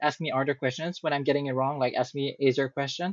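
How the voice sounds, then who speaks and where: A man in a strong French accent talks at a fairly quick pace. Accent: thick French. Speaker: AI company project support. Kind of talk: casual chat. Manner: halting.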